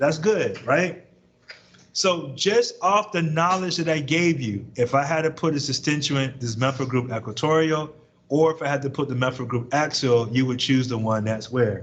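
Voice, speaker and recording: Audible room echo is present on this recording. The man's voice sits fairly high. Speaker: chemistry professor. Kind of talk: lecture. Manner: fast.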